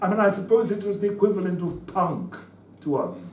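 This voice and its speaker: With noticeable background noise and audible room echo, a man speaks at a moderate pace in a high pitch. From Zimbabwe (Southern Rhodesia). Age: 70s. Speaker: former liberation fighter. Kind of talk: conference talk. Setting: conference with student audience. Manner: halting, with repetitions.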